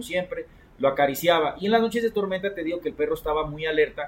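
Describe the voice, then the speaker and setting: A man with a Mexican accent talks at a fairly quick pace in a high-pitched voice with ordinary pitch variation. Noticeable background noise runs under his speech. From Mexico, Coatepec, Veracruz. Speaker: podcast host. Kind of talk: storytelling. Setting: rooftop.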